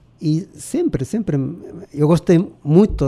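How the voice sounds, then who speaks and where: A man speaks with a strong Spanish accent. His tone is dark and mellow. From Chile. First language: Spanish (speaking Portuguese). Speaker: professor. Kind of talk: interview. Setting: radio studio. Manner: halting.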